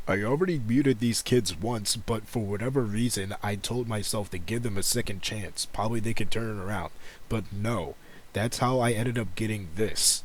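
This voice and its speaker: In a normal speaking voice, a man with an American accent talks at a moderate pace with a fairly low pitch and ordinary pitch variation. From United States. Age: 20s. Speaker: gaming YouTuber and streamer. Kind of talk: casual commentary video.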